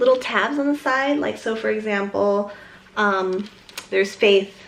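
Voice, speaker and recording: Against noticeable background noise, a woman with a fairly high pitch speaks at a moderate pace with ordinary pitch variation. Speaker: lifestyle vlogger. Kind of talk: casual chat.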